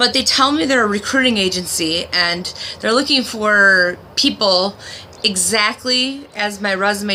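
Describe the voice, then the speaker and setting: Noticeable background noise runs under the recording. The speech moves at a moderate pace. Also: woman. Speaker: video blogger. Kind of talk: video diary monologue.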